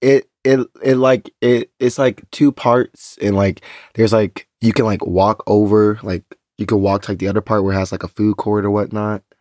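A man with a Texan accent and a fairly low pitch, at a moderate pace with fairly even intonation, in a dry, close sound with no echo and a very clean recording against a silent background. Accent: Texan American English. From Texas. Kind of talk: casual chat.

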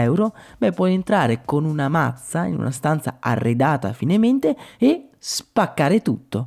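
On a very clean recording with a silent background, a man's fairly high, dark, mellow voice swings very widely in pitch. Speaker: podcast host. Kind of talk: scripted narration.

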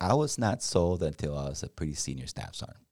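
With a dark, mellow tone and vocal fry, a man speaks at a moderate pace. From Mexico. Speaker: senior enlisted military leader. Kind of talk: interview.

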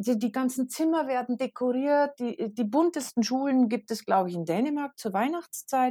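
A woman with a high pitch uses lively intonation and a dark, mellow tone, recorded with a dry, close sound with no echo. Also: moderate pace, hardly any pauses. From Bavaria, Regensburg. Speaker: teacher and mother. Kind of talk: casual interview.

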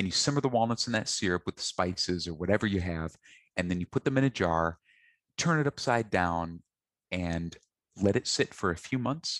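A man with a very deep, low pitch speaks at a fairly quick pace with lively intonation. The sound is dry and close with no echo, over a quiet background. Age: 30s. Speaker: chef and author. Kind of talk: casual interview.

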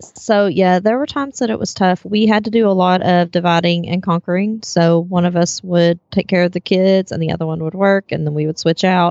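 With a plain, everyday voice, a woman talks at a fairly quick pace and a medium pitch, with ordinary pitch variation and hardly any pauses. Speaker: entrepreneur, former school teacher. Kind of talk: casual interview chat. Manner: laughs often, friendly.

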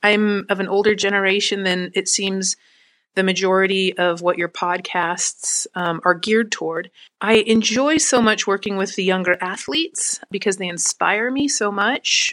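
A woman with an ordinary speaking voice talks at a medium pitch and a moderate pace, with ordinary pitch variation. The sound is dry and close, with no echo. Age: 40s. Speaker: listener leaving a voicemail question. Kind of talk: recorded voicemail question.

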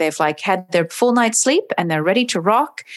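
A woman with an American accent, fairly quick pace and very wide pitch swings. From US West Coast, Oregon. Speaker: dog trainer and animal behaviorist. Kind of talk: casual interview.

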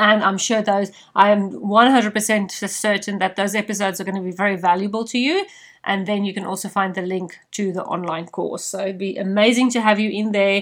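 In a very clean recording with a silent background, a woman with a South African accent speaks at a moderate pace in a medium-pitched voice with monotone, flat intonation. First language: Afrikaans. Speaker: podcast host and leadership coach. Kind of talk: solo podcast monologue.

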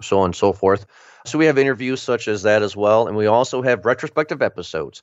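This is a normal speaking voice from a man with ordinary pitch variation. He talks at a fairly quick pace. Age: 30s. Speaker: podcast host. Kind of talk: casual chat.

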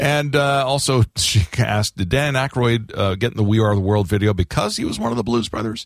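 A normal speaking voice with an American accent, fairly quick with hardly any pauses and ordinary pitch variation, on a very clean recording with a silent background. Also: man, medium pitch for a man. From Florida. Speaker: radio host. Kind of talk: casual chat. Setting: studio.

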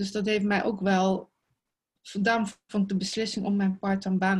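A woman speaks at a medium pitch and a moderate pace. Her voice is somewhat breathy, with monotone, flat intonation. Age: 60s. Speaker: clothing style advisor. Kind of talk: casual interview.

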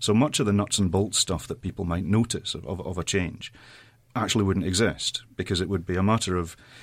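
The speaker has a Scottish accent and ordinary pitch variation. The recording is very clean, with a silent background. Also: man. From Saudi Arabia, expatriate Scottish family. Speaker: politician. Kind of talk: panel discussion.

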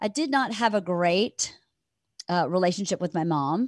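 Over a quiet background, a woman of medium pitch speaks with a Southern US accent and lively intonation, the sound dry and close with no echo. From Georgia, US South. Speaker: comedian's wife, podcast guest. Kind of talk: casual interview chat.

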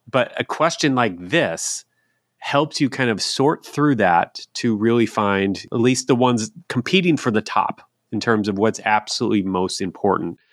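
Against a quiet background, a man at a medium pitch speaks at a moderate pace with lively intonation, in a dry, close sound with no echo. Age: 40s. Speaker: podcast host. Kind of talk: casual chat.

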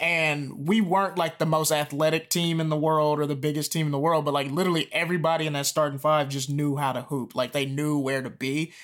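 In an American accent, a man with an ordinary speaking voice talks at a fairly quick pace with hardly any pauses, a fairly high pitch and fairly even intonation, on a very clean recording with a silent background. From US South. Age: 20s. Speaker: comedian. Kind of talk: casual chat.

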